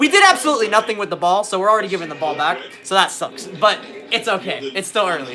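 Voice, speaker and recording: Over music in the background, a high-pitched man speaks at a very fast pace in a raised, projected voice, with an animated tone and lively intonation. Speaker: livestreamer and musician. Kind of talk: casual livestream chat while watching football.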